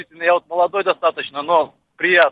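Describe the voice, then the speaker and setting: A man's high-pitched voice. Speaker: radio host. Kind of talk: casual interview. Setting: studio.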